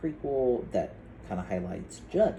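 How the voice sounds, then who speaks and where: With noticeable background noise and audible room echo, a man talks at a moderate pace while his pitch swings very widely. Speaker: vlogger and outreach worker. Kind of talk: casual vlog. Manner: loud at times; hesitant, many fillers.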